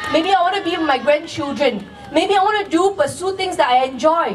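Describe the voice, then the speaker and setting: With faint music in the background, a woman speaks at a moderate pace in an extremely high pitch. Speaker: candidate. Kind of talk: campaign rally speech. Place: stage.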